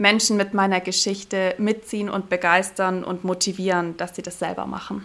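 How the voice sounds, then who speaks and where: A woman talks with hardly any pauses. Her intonation is monotone and flat. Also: medium pitch for a woman, moderate pace. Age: 30s. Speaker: diving instructor and business mentor. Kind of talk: casual interview.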